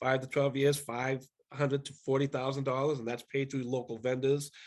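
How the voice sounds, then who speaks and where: A man speaks here. His pitch is medium. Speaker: energy efficiency program presenter. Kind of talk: webinar presentation. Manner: fast.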